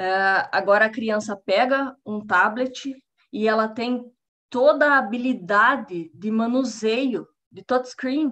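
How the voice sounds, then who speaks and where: Her pitch fairly high with ordinary variation, a woman speaks at a very slow pace. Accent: Paraná. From Brazil, Paraná. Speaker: scientist giving public talk; lecturer. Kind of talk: lecture. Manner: halting, many fillers. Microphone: video call.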